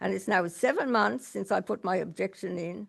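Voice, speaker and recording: Someone with an Australian accent speaks at a fairly quick pace over a quiet background. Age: 70s. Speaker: resident speaking at council meeting. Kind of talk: reading aloud a prepared statement. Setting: council meeting public question time.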